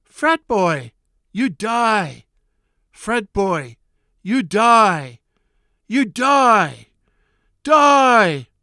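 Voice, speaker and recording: In a shrill, fairly high put-on character voice, the speaker goes very slowly, leaving long, frequent pauses. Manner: screeching, menacing.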